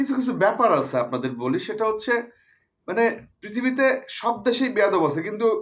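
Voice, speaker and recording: A man speaks in an animated tone, his high pitch swinging very widely. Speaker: cricket commentary YouTuber. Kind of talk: casual opinion monologue.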